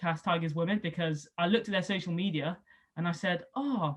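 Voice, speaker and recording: Somewhat breathy and fairly low in pitch, a woman talks at a fairly quick pace with ordinary pitch variation. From England, Somerset (Southwest). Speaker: rugby league player and former sports journalist. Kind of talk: interview. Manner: casual, lots of fillers.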